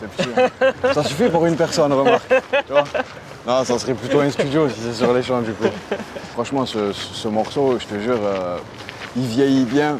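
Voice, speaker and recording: A man with medium pitch and a relaxed tone speaks at a moderate pace with ordinary pitch variation and long, frequent pauses, over noticeable background noise. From Aubagne, near Marseille, France. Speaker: rapper. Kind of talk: interview answer. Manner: casual, relaxed.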